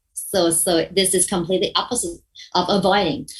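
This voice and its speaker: Her voice somewhat breathy, a woman speaks at a moderate pace. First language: not English. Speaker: mediation trainer. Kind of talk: workshop lecture. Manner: halting, with repetitions and self-corrections.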